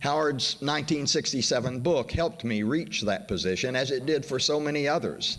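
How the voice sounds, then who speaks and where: A man's fairly high-pitched, normal speaking voice with an American accent, fairly quick and hardly pausing, with very even loudness and ordinary pitch variation. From US South, western Arkansas / Oklahoma. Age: 60s. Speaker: history professor. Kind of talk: conference introduction speech.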